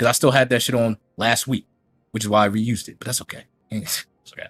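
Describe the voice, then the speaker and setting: An animated man with an American accent talks at a very fast pace. His loudness swings widely. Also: medium pitch for a man. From New York. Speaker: streamer reacting to another content creator. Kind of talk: heated rant on a livestream. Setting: livestream while recording.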